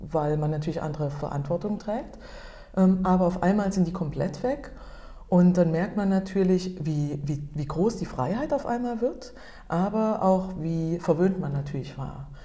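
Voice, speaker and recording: Her intonation lively and her pitch fairly low, a woman talks at a fairly slow pace. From Germany. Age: 40s. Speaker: photographer and entrepreneur. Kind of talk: interview. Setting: meeting room. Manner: halting.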